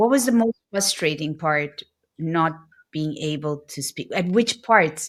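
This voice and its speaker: A woman with a slight non-native accent speaks at a fairly low pitch on a very clean recording with a silent background. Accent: near-native English. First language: not English (multilingual). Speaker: podcast host. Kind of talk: podcast interview.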